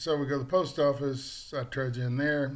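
The man's voice is somewhat breathy. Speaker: vlogger. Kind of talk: casual vlog chat. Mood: wry, amused. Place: home room. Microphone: webcam.

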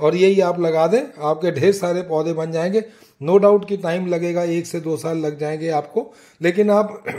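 Against a quiet background, a man with a high pitch talks at a fairly slow pace with ordinary pitch variation. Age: old. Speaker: gardening YouTuber. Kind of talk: tutorial. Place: home room. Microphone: phone near.

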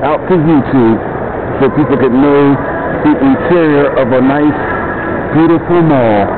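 A man talks fairly slowly through loud background noise. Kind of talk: casual walking tour commentary. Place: shop. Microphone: phone near.

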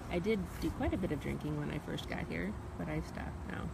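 Loud background noise surrounds the recording, yet the sound is dry with no echo. A man talks over it at a fairly quick pace. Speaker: vlogger. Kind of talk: casual vlog chat. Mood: amused, relaxed. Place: street. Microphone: phone near.

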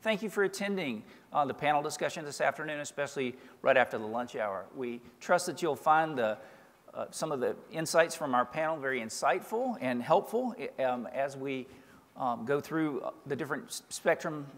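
The man's intonation is lively. His pace is moderate. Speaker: panel moderator. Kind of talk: introductory remarks. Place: stage. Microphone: podium.

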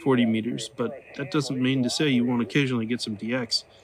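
A man with an American accent speaks at a fairly quick pace with fairly even intonation. Noticeable background noise runs behind him. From Oklahoma. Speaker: amateur radio hobbyist YouTuber; ham radio hobbyist. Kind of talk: casual vlog narration; casual vlog chat. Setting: outdoors in backyard. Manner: relaxed, with fillers. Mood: relaxed, chilling. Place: garden. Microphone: phone near.

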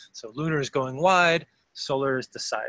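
A man speaks with an American accent in a bright, sharp tone. The sound is dry and close with no echo, on a very clean recording with a silent background. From Philadelphia, US. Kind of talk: interview conversation. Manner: halting, with repeated words.

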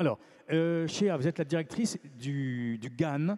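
A man with a fairly high pitch speaks at a fairly slow pace, his slightly mellow tone carrying ordinary pitch variation.

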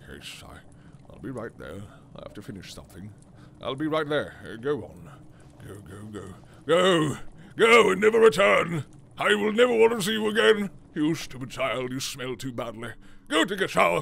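A man does a put-on character voice at a fairly high pitch with very wide pitch swings. He keeps a moderate pace broken by long, frequent pauses. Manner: rude, dismissive.

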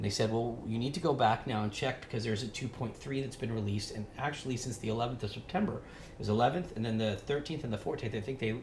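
A man speaks at a fairly quick pace with ordinary pitch variation and a somewhat breathy voice, over audible room echo and light background noise. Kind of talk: tutorial. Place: shop.

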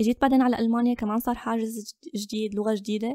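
On a very clean recording with a silent background and a dry, close sound with no echo, a woman speaks at a fairly quick pace. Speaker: photographer and content creator. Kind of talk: interview.

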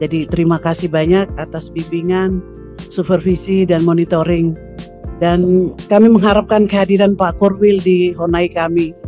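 A woman speaks at a moderate pace with a fairly low pitch and monotone, flat intonation. Faint music plays behind the dry sound, which has no echo. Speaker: provincial election commission chair. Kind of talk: formal meeting speech. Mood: warm, partly joking. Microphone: podium.

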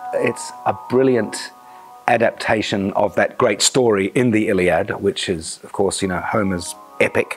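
Faint music plays in the background as a man talks at a fairly low pitch. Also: fairly slow pace. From New Zealand. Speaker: actor. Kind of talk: interview answer. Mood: enthusiastic, expressive. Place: studio. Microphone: lapel.

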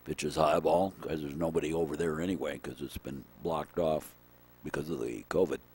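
Racing at a very fast pace, a man with a very deep, low pitch and vocal fry keeps his intonation fairly even. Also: dry sound with no echo. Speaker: baseball play-by-play announcer. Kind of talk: live sports commentary, play-by-play. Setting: outdoors at ballfield. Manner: chatty, with asides and trivia between pitches. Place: stadium.

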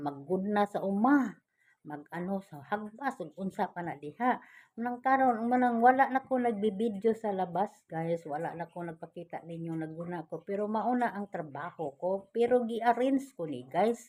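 A woman's normal speaking voice at medium pitch and a moderate pace, with lively intonation, on a very clean recording with a silent background. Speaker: vlogger. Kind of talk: casual vlog talk to viewers. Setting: indoors at home.

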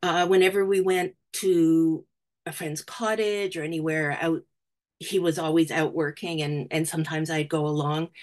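With a Canadian accent, a woman speaks in an unremarkable speaking voice at a fairly low pitch, keeping her intonation fairly even at a moderate pace against a quiet background. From Canada. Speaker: museum curator and historian; guest lecturer. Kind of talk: presentation. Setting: video call. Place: home room. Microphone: webcam.

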